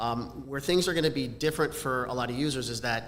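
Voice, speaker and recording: The speech comes at a very fast pace with fairly even intonation. Audible room echo and noticeable background noise are present. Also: man. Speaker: camera company product specialist. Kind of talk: live stream product presentation. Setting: live event in person.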